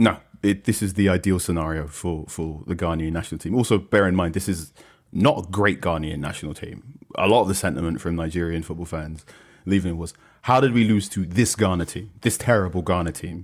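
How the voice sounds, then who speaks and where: Speaking fairly quickly, a man with a British accent has a very deep, low pitch. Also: ordinary pitch variation, very clean recording, silent background. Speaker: football journalist. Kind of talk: casual chat. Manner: hesitant, with frequent fillers and repeats.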